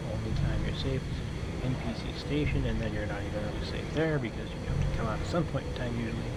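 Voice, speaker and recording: A man's mumbling at a very fast pace with hardly any pauses, over noticeable background noise. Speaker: gaming video creator. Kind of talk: let's play commentary. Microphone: far from the mic.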